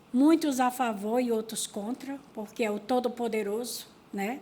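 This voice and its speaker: Somewhat breathy and fairly high-pitched, a woman speaks very slowly with fairly even intonation. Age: 50s. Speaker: rural workers' union leader. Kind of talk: panel talk at seminar.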